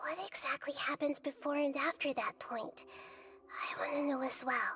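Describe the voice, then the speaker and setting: A put-on character voice, female-sounding and high-pitched, in a calm, gentle tone at a moderate pace. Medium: video game.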